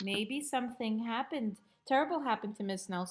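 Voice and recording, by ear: A passage read aloud in a natural voice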